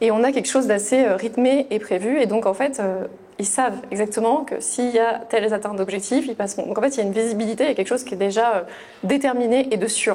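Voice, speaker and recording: A very fast pace with fairly even intonation. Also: woman. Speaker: HR manager. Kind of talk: webinar presentation. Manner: hesitant, many fillers.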